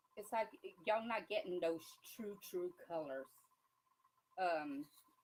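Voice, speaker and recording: Her pitch fairly low, a woman talks at a fairly slow pace with ordinary pitch variation. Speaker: crafter demonstrating epoxy tumblers. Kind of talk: live stream tutorial. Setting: live stream. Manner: quiet while concentrating.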